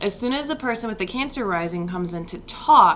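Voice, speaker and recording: Over noticeable background noise, the words come at a fairly quick pace. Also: woman. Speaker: astrologer. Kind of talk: casual vlog talk about astrology. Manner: casual, rambling delivery.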